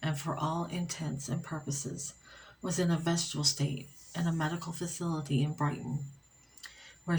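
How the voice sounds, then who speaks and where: Soft-spoken, a woman talks at a moderate pace in a very deep, low pitch with fairly even intonation. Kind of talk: ASMR story reading for sleep. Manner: soft-spoken, relaxing.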